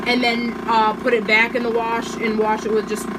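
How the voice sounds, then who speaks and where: The recording has noticeable background noise and audible room echo. A woman speaks in a fairly high pitch. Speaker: product reviewer. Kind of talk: casual product review demo. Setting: home kitchen. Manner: casual, filler-heavy; raised voice over machine noise.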